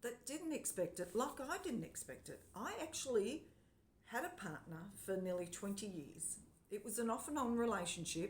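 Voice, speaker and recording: Somewhat breathy and fairly high-pitched, a woman speaks at a moderate pace with very wide pitch swings. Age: 60s. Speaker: vlogger. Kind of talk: personal vlog monologue. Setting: home lounge room.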